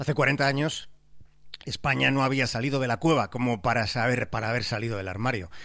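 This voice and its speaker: A man speaks at a medium pitch and a fairly quick pace, with ordinary pitch variation. His tone is bright and sharp, and the recording is very clean with a silent background. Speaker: radio contributor. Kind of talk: radio segment narration.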